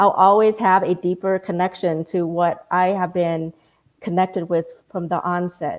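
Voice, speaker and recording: In a Vietnamese accent, a woman speaks at a fairly slow pace, medium in pitch with monotone, flat intonation. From Vietnamese family, grew up speaking Vietnamese at home. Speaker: community panelist. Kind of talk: panel discussion.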